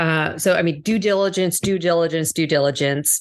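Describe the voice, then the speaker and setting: A woman's unremarkable speaking voice, fairly low in pitch, with ordinary pitch variation at a moderate pace. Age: 40s. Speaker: corporate executive. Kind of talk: interview.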